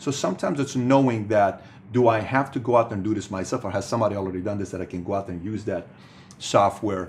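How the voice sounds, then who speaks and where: A man speaks very fast in an animated, somewhat breathy voice. His pitch sits fairly low and varies in an ordinary way. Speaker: business speaker. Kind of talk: motivational talk.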